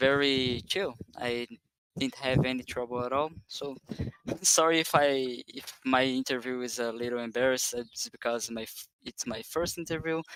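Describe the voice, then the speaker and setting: With a non-native accent, a man speaks at medium pitch and a moderate pace, his intonation fairly even, in a dry, close recording with no echo. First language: not English. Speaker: sim racing driver. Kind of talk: post-race interview. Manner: halting.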